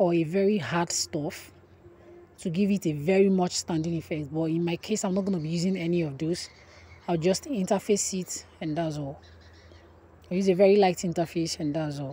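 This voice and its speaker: A somewhat breathy woman's voice, fairly low in pitch, with a dark, mellow tone and a moderate pace. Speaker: sewing instructor. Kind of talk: tutorial.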